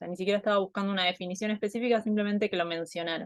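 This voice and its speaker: In an Argentine accent, a woman speaks at a medium pitch with ordinary variation, recorded dry and close with no echo against a quiet background. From Argentina. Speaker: anthropologist. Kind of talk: online talk presentation. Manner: hesitant, many fillers.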